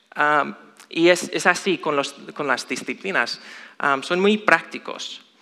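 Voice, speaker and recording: Speaking at a very slow pace with long, frequent pauses, a man uses a high, bright, sharp voice with ordinary pitch variation and an American accent. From US, Chicago. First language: English (speaking Spanish). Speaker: lay preacher. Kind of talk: sermon. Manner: halting.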